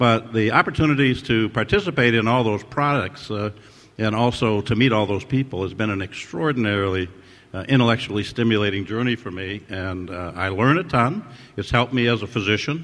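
An ordinary speaking voice moves at a fairly quick pace with ordinary pitch variation. The background is quiet. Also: man, medium pitch for a man. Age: 60s. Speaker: ophthalmologist, surgeon and innovator, award honoree. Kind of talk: interview answers, reflective conversation. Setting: award ceremony with audience.

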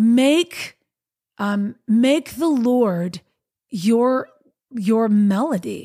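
Somewhat breathy and fairly high in pitch, a woman speaks at a very slow pace with lively intonation and long, frequent pauses. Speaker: podcast host and worship singer. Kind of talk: reflective solo talk with faith message. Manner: conversational, reflective, with filler words.

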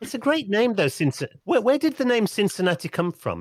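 A man with a British accent talks at a fairly quick pace with very wide pitch swings, the sound dry and close with no echo. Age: 50s. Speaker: podcast host. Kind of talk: interview. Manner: halting.

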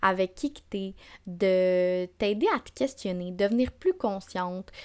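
A woman with a Quebec accent speaks at a very slow pace in a medium-pitched voice with ordinary pitch variation. The recording is very clean with a silent background. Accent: Québécois French. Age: 20s. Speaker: podcast host. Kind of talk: casual monologue. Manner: animated.

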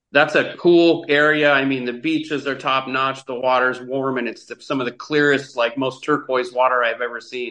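A man speaks with an American accent. His tone is bright and sharp, and his intonation stays fairly even. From US Pacific Northwest. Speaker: travel influencer. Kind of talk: casual chat. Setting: video call.

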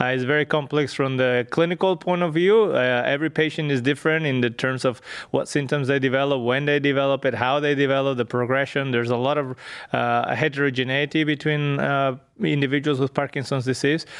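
A man with a Spanish accent at a fairly high pitch, fairly even intonation and very even loudness, at a fairly quick pace. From northwestern Spain. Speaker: genetics researcher. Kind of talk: interview. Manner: halting, many fillers.

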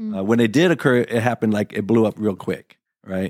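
The speaker moves at a fairly quick pace, and the sound is dry and close with no echo. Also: man. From San Antonio, Texas. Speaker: behavioral health technician. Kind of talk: casual interview chat. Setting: studio.

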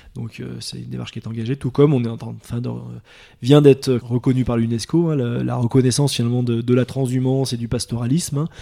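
The man's loudness rises and falls in big swings. He talks at a very fast pace. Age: 30s. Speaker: dairy farmer. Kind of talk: casual interview. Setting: on the farm. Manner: hesitant, many fillers.

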